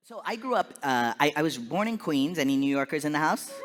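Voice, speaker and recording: A man with an American accent talks in a fairly high pitch, with noticeable background noise behind him. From Lancaster, California. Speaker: comedian. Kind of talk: keynote talk. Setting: stage with audience. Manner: animated.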